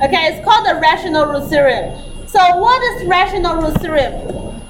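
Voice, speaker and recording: A woman speaks at an extremely high pitch, with audible room echo and noticeable background noise. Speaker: maths teacher. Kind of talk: lecture.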